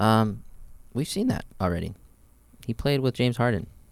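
A man with a plain, everyday voice speaks at a moderate pace with ordinary pitch variation. The recording is very clean, with a silent background. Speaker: podcast co-host. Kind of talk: casual sports podcast chat.

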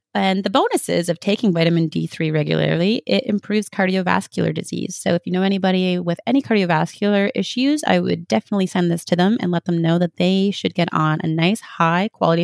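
A woman with a Canadian accent speaks at a very fast pace with hardly any pauses. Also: dry, close sound with no echo. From Canada. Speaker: health practitioner and podcast host. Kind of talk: solo educational talk.

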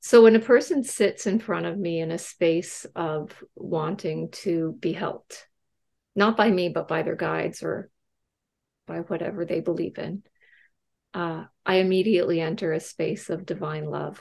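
At a moderate pace, a woman with a fairly low pitch talks with vocal fry. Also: ordinary pitch variation. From Canada. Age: 50s. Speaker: medium. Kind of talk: interview. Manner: halting.

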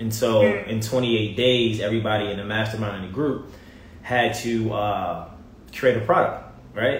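With an American accent, a man talks in a fairly low, somewhat breathy voice while audible room echo surrounds him. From Baltimore, Maryland. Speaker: TV personality and motivator. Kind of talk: casual interview chat. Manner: animated.

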